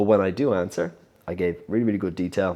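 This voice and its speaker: The man's pitch is fairly low and his pace fairly quick. The recording is very clean, with a silent background. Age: 30s. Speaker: entrepreneur vlogger. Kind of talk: casual vlog monologue. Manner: halting, many repeated words and fillers.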